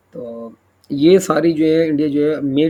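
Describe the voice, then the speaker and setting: A man's voice with ordinary pitch variation. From Pakistan. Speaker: YouTuber, defence news commentator. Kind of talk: news commentary monologue. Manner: halting, many fillers and self-corrections.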